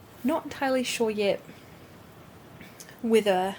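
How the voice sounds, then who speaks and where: A woman with a New Zealand accent and medium pitch. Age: 20s. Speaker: lifestyle vlogger. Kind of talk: casual talk to camera. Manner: chatty.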